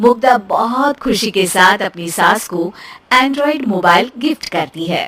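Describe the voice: A woman with a fairly bright tone speaks slowly, her intonation lively. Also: medium pitch for a woman.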